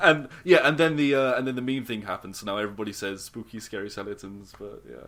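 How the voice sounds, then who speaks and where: A man at a very fast pace, his loudness swinging widely. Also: medium pitch for a man, ordinary pitch variation. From southern England, Surrey side of London. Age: 20s. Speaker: podcast guest. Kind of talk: casual chat.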